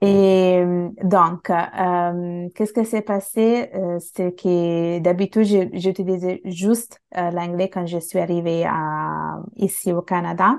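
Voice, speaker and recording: The delivery is very slow with fairly even intonation and hardly any pauses. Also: woman, fairly low pitch for a woman. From Italy, of Bangladeshi parents. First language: Bengali, with Italian as adopted native language (speaking French). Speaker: multilingual language learner. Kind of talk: casual interview conversation. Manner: halting, many fillers and self-corrections.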